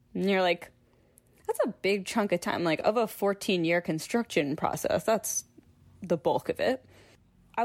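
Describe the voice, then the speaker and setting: In a normal speaking voice with an American accent, a woman speaks at a medium pitch and moderate pace with ordinary pitch variation, in a dry, close sound with no echo on a very clean recording over a silent background. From Philadelphia suburbs, US. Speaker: children's author and illustrator. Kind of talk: casual interview conversation.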